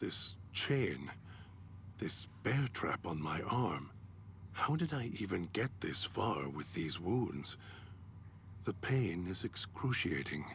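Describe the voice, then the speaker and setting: Someone uses a put-on character voice at a very slow pace, with long, frequent pauses and clear background noise. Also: man, very deep, low pitch for a man. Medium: video game. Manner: articulate, measured.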